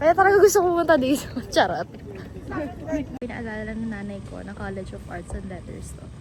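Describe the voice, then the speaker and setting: Music plays in the background as a woman talks at a fairly quick pace, with audible room echo. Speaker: college student vlogger. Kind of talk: casual vlog. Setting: outdoors on campus. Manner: animated.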